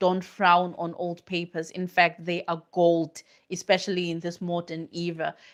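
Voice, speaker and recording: A woman's fairly low voice with a non-native accent at a moderate pace, on a very clean recording with a silent background. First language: not English. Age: middle-aged. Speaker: academic researcher. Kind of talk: live stream Q&A talk.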